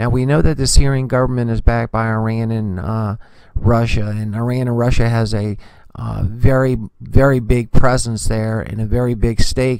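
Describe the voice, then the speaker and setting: A medium-pitched man at a moderate pace. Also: fairly even intonation. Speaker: news commentary vlogger. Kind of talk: casual news commentary vlog. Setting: remote location away from home. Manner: soft-spoken; hesitant, many filler words.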